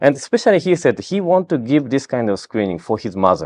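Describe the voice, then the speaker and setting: A medium-pitched male voice with a Japanese accent, vocal fry and very wide pitch swings, dry and close with no echo. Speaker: health screening company founder. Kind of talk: interview. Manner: halting.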